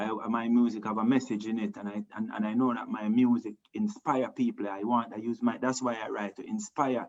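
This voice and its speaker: With a Jamaican accent, a man talks at a fairly quick pace with hardly any pauses. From Jamaica, Montego Bay. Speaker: reggae singer. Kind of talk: interview. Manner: halting.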